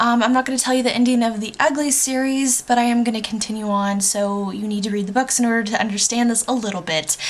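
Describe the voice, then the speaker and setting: A fairly high-pitched woman talking at a very fast pace with hardly any pauses, over noticeable background noise. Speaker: book vlogger. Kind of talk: casual vlog review.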